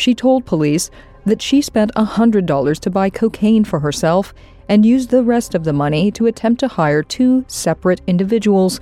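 The intonation is lively. It is an unremarkable speaking voice. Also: woman. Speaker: true crime podcast narrator. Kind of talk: scripted true-crime narration, read in a steady, serious, newsreader-like tone. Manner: measured, even-paced and matter-of-fact.

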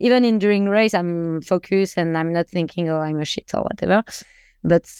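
A woman with a French accent, at a moderate pace with fairly even intonation, in a dry, close sound with no echo. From France. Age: 20s. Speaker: professional triathlete. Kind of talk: casual interview. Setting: remote call. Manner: halting, searches for words.

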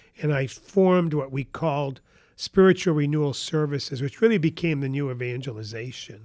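In a New England accent, a man talks at a fairly quick pace, his pitch fairly high with ordinary pitch variation. The recording is very clean, with a silent background. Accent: New England American. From northern New Hampshire. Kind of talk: interview. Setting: studio at a kitchen table.

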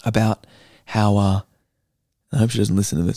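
On a very clean recording with a silent background and a dry, close sound with no echo, a man speaks with an Australian accent. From Perth, Western Australia. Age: 20s. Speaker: stand-up comedian and actor. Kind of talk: casual chat.

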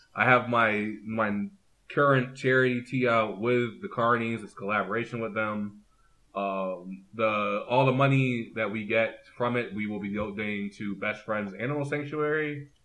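This is a man with a plain, everyday voice, talking at a moderate pace. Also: medium pitch for a man. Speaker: wrestling fan guest. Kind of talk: casual chat. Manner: excitable.

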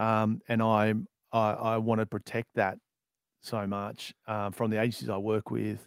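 With an Australian accent, a man speaks fairly slowly in a fairly low, flat monotone, on a very clean recording with a silent background and a dry, close sound with no echo. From Australia, outer suburbs of Melbourne. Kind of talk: interview.

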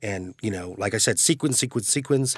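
A man with a General American accent, fairly low pitch and ordinary pitch variation, in a very clean recording with a silent background. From US Midwest (Cleveland Heights, Ohio) and Northern California. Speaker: actor. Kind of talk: casual chat.

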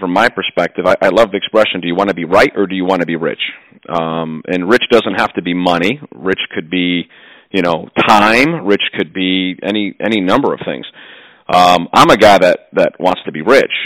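A man with a plain, everyday voice and a fairly low pitch talks at a moderate pace, the sound dry and close with no echo. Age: 40s. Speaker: home improvement business owner. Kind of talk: interview.

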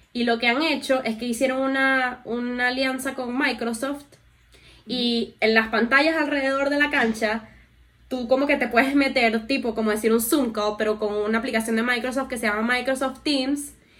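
With noticeable background noise around her, a woman keeps a high pitch and fairly even intonation. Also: moderate pace. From Venezuela. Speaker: podcast co-host. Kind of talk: casual chat.

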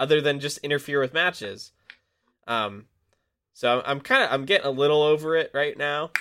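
Talking at a fairly quick pace with long, frequent pauses, a man uses a fairly high pitch with ordinary pitch variation. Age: 20s. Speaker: podcast co-host. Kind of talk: casual chat.

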